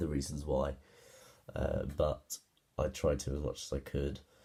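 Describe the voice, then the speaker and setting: In a British accent, a man talks with a dark, mellow tone. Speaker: music student. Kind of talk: presentation. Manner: halting.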